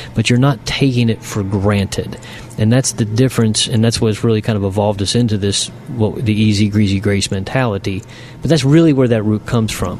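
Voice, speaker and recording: Fairly quick and fairly low-pitched, a man's voice comes through. Noticeable background noise is present. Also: fairly even intonation. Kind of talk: casual chat.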